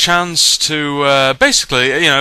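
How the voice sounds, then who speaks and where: The voice has a bright, sharp tone and a British accent. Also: man. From Britain. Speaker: YouTube vlogger. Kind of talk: casual vlog. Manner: hesitant, many fillers.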